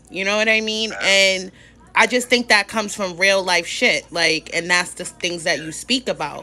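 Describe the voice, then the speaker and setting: Bright and sharp in tone, a woman talks with ordinary pitch variation. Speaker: livestream interview host. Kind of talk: casual interview chat. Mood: excited, laughing. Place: home room. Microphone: phone near.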